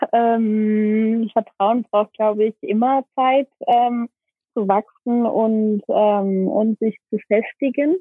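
Loudness stays very even throughout, and the pitch varies in an ordinary way. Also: woman. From Germany, Aachen. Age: 20s. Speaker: NGO founder, social worker. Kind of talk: interview. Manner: hesitant, many filler sounds.

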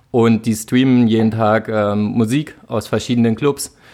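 Monotone, flat intonation marks this man's medium-pitched voice. The recording is very clean, with a silent background. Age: 20s. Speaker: event project manager. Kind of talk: casual chat.

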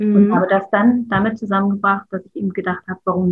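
An ordinary speaking voice at a fairly quick pace, with ordinary pitch variation. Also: woman. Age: 50s. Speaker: artist and childcare educator. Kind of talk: interview.

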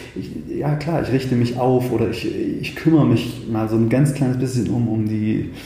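A man's voice, at a moderate pace and with ordinary pitch variation, comes through audible room echo and noticeable background noise. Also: medium pitch for a man, hardly any pauses. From Thuringia, Eichsfeld (eastern Germany). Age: 30s. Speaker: pianist and composer. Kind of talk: casual interview conversation. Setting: in person. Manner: halting, many restarts.

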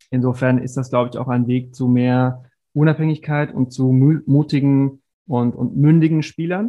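A man has an unremarkable speaking voice at a medium pitch, with fairly even intonation and a moderate pace. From Germany, Stuttgart. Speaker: sports marketing executive. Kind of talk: interview.

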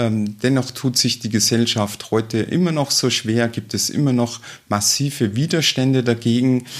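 The man has an ordinary speaking voice, pitched in the medium range, delivered at a moderate pace with fairly even intonation. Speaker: state politician. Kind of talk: interview. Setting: her office.

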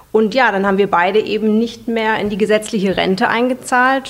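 Amid noticeable background noise, a woman speaks at a fairly high pitch and a fairly quick pace with fairly even intonation. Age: 40s. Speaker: personal finance platform founder. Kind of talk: interview.

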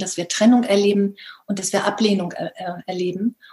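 A woman has an unremarkable speaking voice at a medium pitch. She talks at a fairly quick pace with fairly even intonation. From northern Germany, Baltic coast. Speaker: life coach. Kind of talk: interview.

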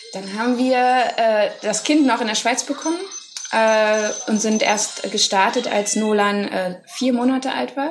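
Over noticeable background noise, a woman with a fairly high pitch speaks at a fairly slow pace with ordinary pitch variation. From Germany. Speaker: travelling parent and co-living organiser. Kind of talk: interview. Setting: outdoors by a pool and the sea. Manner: hesitant, many fillers.

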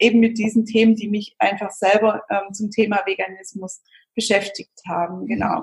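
Her voice fairly high and somewhat breathy, a woman keeps a moderate pace and a fairly even intonation. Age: 30s. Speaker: vegan nutrition and recipe expert. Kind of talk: interview. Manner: hesitant, many fillers.

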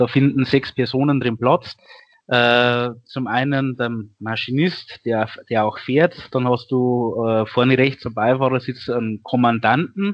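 A man talks at a very slow pace in a medium pitch. His intonation stays fairly even. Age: 30s. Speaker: volunteer firefighter. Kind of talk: interview.

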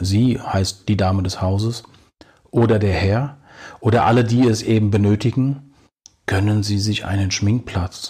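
Somewhat breathy, a man speaks at a fairly slow pace. His pitch is fairly low, with ordinary variation. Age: 50s. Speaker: podcast host, bathroom renovation advisor. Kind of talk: informational monologue addressing listeners. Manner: formal.

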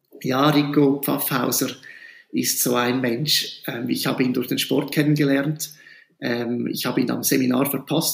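A man speaks at a fairly slow pace in a fairly high pitch, with flat, monotone intonation. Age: 40s. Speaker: school principal. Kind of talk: interview.

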